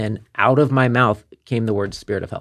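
The voice has a Midwestern American accent. It moves at a moderate pace with fairly even intonation. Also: man. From Kansas City. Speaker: wellness business owner. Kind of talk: casual chat.

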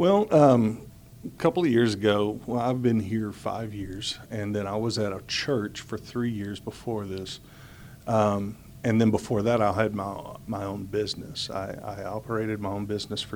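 Speaking at a moderate pace, a man uses an unremarkable speaking voice, fairly low in pitch, with fairly even intonation. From Houston, Texas. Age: 40s. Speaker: school staff and pastor. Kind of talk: interview.

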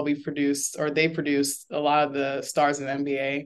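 The delivery has a moderate pace. It comes with an American accent. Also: woman. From Florida. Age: 30s. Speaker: former college basketball player and nonprofit founder. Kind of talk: interview. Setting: video call.

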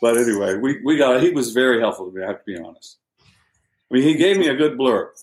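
A man talks very fast with an American accent. His medium-pitched voice has lively intonation. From US South. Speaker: novelist. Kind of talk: interview.

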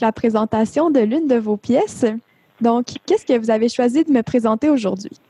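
A woman speaks fairly quickly in a high voice at very even loudness. The sound is dry and close, with no echo. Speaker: podcast interviewer. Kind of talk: interview.

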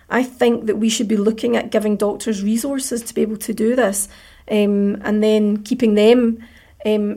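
A woman with a Scottish accent, fairly high pitch, monotone, flat intonation and a fairly quick pace. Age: 40s. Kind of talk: interview.

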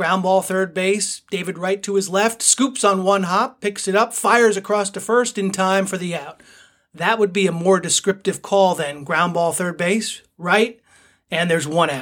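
The recording is very clean, with a silent background. A man with a high pitch speaks at a moderate pace with fairly even intonation. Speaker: sportscasting coach and radio host. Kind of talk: live baseball play-by-play call (demo example).

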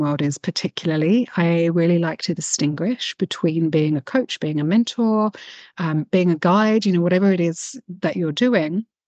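A woman with a normal speaking voice, fairly low pitch and ordinary pitch variation. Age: 40s. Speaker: spiritual coach and mystic artist. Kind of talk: casual interview chat.

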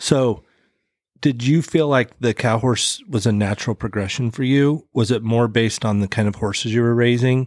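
This man has an unremarkable speaking voice, a medium pitch and an American accent, speaking at a moderate pace with fairly even intonation. The recording is very clean, with a silent background. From Idaho. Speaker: podcast host. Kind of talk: casual interview.

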